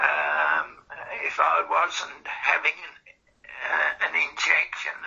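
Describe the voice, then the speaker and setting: Very slow speech in an Australian accent. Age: 80s+. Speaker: cancer patient in a research interview. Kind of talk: interview. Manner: halting, many fillers.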